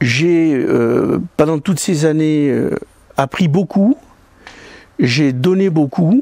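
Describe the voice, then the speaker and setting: Very slow and marked by long, frequent pauses, a man speaks at a fairly high pitch with ordinary pitch variation. His loudness stays very even, and the sound is dry and close with no echo. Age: 60s. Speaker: judo club volunteer. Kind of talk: interview testimony. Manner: halting.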